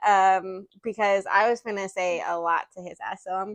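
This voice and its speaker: A woman's bright, sharp, animated voice comes through with a dry, close sound and no echo. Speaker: podcast co-host. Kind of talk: casual chat.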